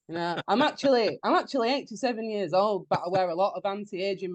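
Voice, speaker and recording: A woman with a Yorkshire accent at a very fast pace, medium in pitch and lively in intonation, with a dry, close sound with no echo and a quiet background. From northern England, Wakefield, West Yorkshire. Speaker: punk folk singer-songwriter. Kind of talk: casual podcast interview. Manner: animated, jokey.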